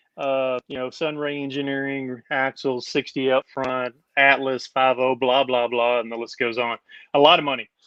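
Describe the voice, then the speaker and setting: Speaking in an East Texas accent, a man keeps a flat, monotone delivery at medium pitch and a moderate pace. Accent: East Texas Southern US. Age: 50s. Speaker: overlander and former rock crawler. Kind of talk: casual interview chat.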